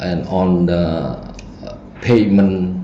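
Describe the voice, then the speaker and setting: Audible room echo and noticeable background noise surround a man speaking with a Cambodian accent. His pitch is very deep and low, with ordinary variation. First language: Khmer. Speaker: feng shui teacher. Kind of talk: lecture. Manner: halting.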